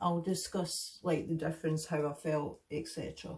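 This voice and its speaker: A somewhat breathy woman with a Scottish accent at a moderate pace. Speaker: beauty therapist and skincare reviewer. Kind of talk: product review tutorial.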